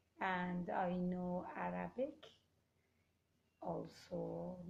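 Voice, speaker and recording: Speaking with a Kurdish accent, a woman is heard with audible room echo. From Iran, Kurdish. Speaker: Toastmasters club member. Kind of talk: interview. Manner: halting.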